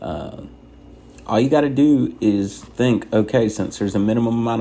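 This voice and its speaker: Here a man is soft-spoken. His pitch varies in an ordinary way. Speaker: truck driver trainer. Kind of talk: tutorial. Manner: soft-spoken, quiet inside voice.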